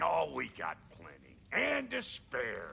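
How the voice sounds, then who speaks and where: A raspy, put-on character voice speaks at a fairly slow pace against clear background noise. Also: man. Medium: video game. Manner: blunt, streetwise.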